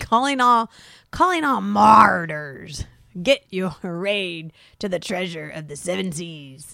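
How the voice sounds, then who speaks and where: Very slowly, the speaker delivers a put-on character voice at a middle pitch. The recording is very clean with a silent background. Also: female-sounding voice. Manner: bad impersonation.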